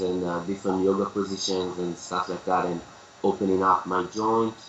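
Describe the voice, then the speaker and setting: Over noticeable background noise, a man with an Israeli accent speaks at a moderate pace in a fairly low pitch with monotone, flat intonation. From Israel, Tel Aviv. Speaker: capoeira teacher. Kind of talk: interview.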